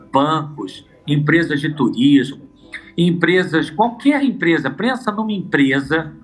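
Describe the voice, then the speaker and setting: With music in the background, a man with a fairly high voice talks at a very slow pace using lively intonation. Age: 60s. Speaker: expert on aging. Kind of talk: TV interview. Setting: at an expo.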